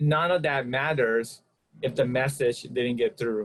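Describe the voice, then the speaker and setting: With ordinary pitch variation, a man's voice comes across as somewhat breathy. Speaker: podcast co-host. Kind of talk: casual podcast conversation. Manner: occasional stuttering.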